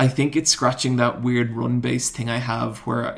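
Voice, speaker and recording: A man with an Irish accent at a moderate pace. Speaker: YouTuber. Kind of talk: casual banter. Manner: animated.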